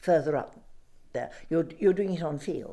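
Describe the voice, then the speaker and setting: Dark and mellow in tone, a woman's very deep, low voice moves at a moderate pace. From southwest England, Devon. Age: 80s+. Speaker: retired doctor. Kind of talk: interview testimony. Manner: halting.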